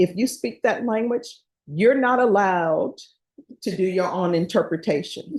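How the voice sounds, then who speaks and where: A woman speaks at a moderate pace with a medium pitch. Her voice is somewhat breathy, and her intonation is lively. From Louisiana. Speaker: judge. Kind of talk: jury instructions in court. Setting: courtroom. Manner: conversational, jokey.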